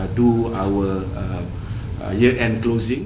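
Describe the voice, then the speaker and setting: Over noticeable background noise, a man speaks at a medium pitch with fairly even intonation. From Malaysia. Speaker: telecom executive. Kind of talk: press interview. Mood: polite, guarded. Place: hall. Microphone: handheld.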